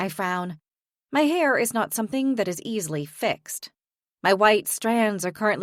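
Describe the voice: This is plain reading aloud. The background is quiet.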